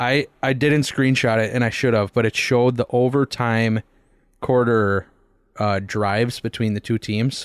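On a very clean recording with a silent background, a man with an unremarkable speaking voice talks at a moderate pace and medium pitch, his loudness very even. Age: 20s. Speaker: sports podcast host. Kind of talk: casual chat.

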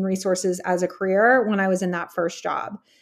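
On a very clean recording with a silent background, a woman with an American accent talks at a fairly quick pace and medium pitch in a monotone, flat delivery. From Texas. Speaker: HR executive and networking community founder. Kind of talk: interview conversation.

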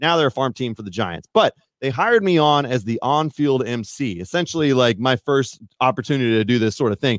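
With a plain, everyday voice, a man speaks in a medium pitch at a fairly quick pace with lively intonation. The sound is dry and close, with no echo. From Northern California. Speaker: mountain bike YouTuber. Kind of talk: casual chat. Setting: live stream.

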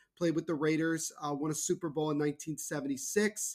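A man with an American accent talks at a fairly quick pace in a fairly high pitch. He has a plain, everyday voice. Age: 20s. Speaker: hockey podcast host. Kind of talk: casual chat.

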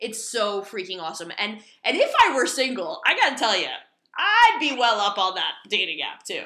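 With an American accent, a woman uses a normal speaking voice, fairly high in pitch, with lively intonation at a moderate pace. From Hudson County, New Jersey. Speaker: horror podcast co-host. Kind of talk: casual chat. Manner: laughs often.

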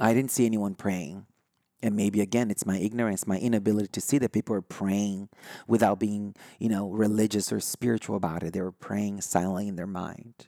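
A man with a fairly low, dark and mellow voice speaks at a fairly quick pace with fairly even intonation, the sound dry and close with no echo. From Brazil. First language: Brazilian Portuguese. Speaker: spiritual podcast host. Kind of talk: solo podcast talk. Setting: recorded live online. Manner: halting, many fillers and restarts.

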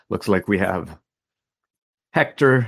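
A man talks with fairly even intonation. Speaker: podcast host. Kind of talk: live-streamed interview. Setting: video call with live chat. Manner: filler-heavy.

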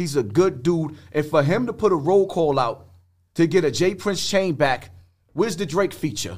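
Here a man talks with a high pitch and lively intonation at a moderate pace. The recording is very clean, with a silent background. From New York, the Bronx. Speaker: social media personality. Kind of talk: casual chat. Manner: animated.

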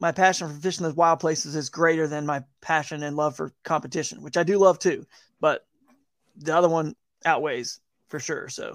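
A man with an American accent speaks in an unremarkable speaking voice, fairly high in pitch and fairly even in intonation, at a moderate pace. The recording is very clean with a silent background and a dry, close sound without echo. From US South, Atlanta. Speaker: kayak angler and fishing video creator. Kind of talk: casual interview chat.

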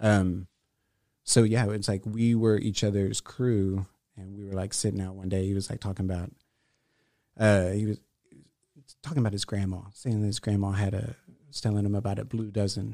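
A man with a Texan accent at a moderate pace, fairly low and dark, mellow in tone, with monotone, flat intonation and long, frequent pauses, on a very clean recording with a silent background. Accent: Texan American. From Houston, Texas (southeast side). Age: 30s. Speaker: visual artist. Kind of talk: casual chat. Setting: studio.

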